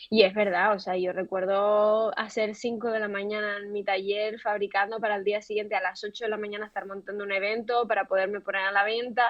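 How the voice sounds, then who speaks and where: A woman with a Canarian accent talks at a fairly quick pace in a medium pitch, with hardly any pauses. Noticeable background noise runs behind her. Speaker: fashion entrepreneur and creative director. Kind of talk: interview. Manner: animated.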